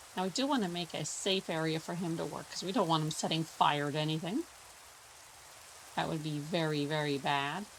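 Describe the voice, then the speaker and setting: A woman's very deep, low voice in a relaxed tone, fairly quick, with ordinary pitch variation, over noticeable background noise. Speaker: gaming YouTuber. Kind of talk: gameplay commentary. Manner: relaxed, casual.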